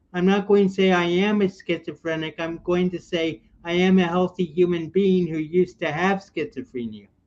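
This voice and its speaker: This man has an American accent and a high pitch, moving at a moderate pace. He barely pauses, and his intonation stays fairly even. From US Midwest, Chicago area. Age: 60s. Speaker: military veteran and mental health advocate. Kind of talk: casual interview.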